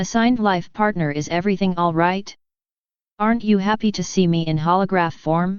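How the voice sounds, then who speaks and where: Using a put-on character voice, this female-sounding voice speaks at a moderate pace with medium pitch for a woman. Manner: flat, mechanical.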